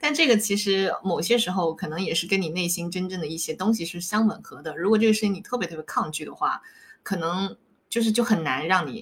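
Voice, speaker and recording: Speaking at a fairly quick pace, a woman with a medium pitch sounds somewhat breathy, with big swings in loudness and ordinary pitch variation. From Fujian, China. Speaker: life coach. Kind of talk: interview.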